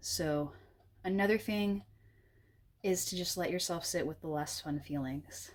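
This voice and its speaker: A woman at medium pitch, at a moderate pace, on a very clean recording with a silent background. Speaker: tarot card reader. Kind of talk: pick-a-card tarot reading. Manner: casual, many fillers.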